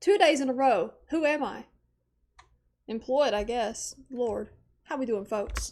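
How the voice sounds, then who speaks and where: A fairly slow, animated delivery with lively intonation and long, frequent pauses. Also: woman, high pitch for a woman. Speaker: streamer. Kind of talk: casual chat. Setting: live stream.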